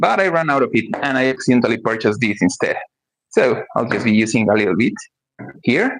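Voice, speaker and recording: Speaking in a Spanish accent at a very fast pace, a man uses a medium pitch and lively intonation. His loudness stays very even. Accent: Spanish-speaker accent in English. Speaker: cooking streamer. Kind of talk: live cooking stream. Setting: livestream at home kitchen.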